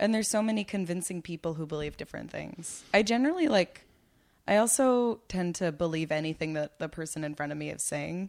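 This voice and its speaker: A woman talks at a fairly quick pace and fairly low pitch, in a normal speaking voice with lively intonation. The recording is very clean, with a silent background. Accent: American. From Long Island, New York. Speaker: comedian. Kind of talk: casual chat. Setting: home.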